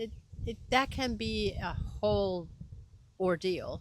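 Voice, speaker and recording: Very slow speech from a woman with a Spanish accent, medium pitch, and ordinary pitch variation. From Venezuela (Caracas). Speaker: education coordinator and language teacher. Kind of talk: interview.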